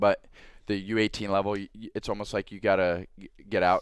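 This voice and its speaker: A man's fairly low voice with an American accent, a plain, everyday voice, fairly even intonation and a fairly quick pace, in a very clean recording with a silent background and a dry, close sound with no echo. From US South, Atlanta. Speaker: hockey player. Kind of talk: casual interview.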